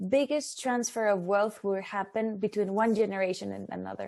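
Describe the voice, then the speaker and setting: A woman speaks with a Spanish accent in a dark, mellow tone. Her pitch varies in an ordinary way against a quiet background. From Mexico. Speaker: startup competition representative. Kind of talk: webinar presentation. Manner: halting.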